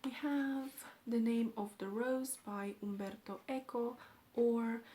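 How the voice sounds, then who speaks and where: The speaker has a Romanian accent and fairly even intonation. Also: woman. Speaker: book vlogger. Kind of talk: casual vlog talk.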